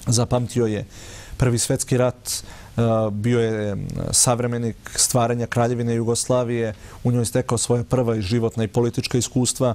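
A man's dark, mellow voice moves at a moderate pace in a monotone, flat intonation. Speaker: guest. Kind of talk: interview answer. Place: studio. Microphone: lapel.

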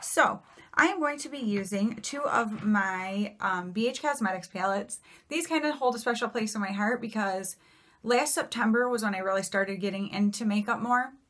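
Over a quiet background, a woman is speaking. Her pace is moderate and her pitch varies in an ordinary way. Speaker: beauty vlogger. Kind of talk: casual vlog chat. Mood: cheerful, chatty. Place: home room. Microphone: phone near.

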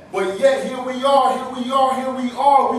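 Light background noise sits under the voice, and some room echo is audible. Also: man. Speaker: pastor. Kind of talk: spoken word poetry performance at a live poetry night. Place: hall. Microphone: camera far.

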